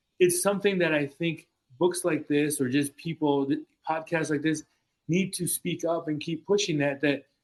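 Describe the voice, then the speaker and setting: A man with a Spanish accent talks at a moderate pace in a fairly high pitch, his intonation fairly even. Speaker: clinical psychologist. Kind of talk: casual discussion. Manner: halting, many repeated words.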